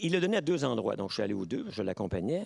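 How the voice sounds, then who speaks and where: Vocal fry and very wide pitch swings come through with a dry, close sound with no echo. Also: man. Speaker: professor. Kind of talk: lecture. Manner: halting.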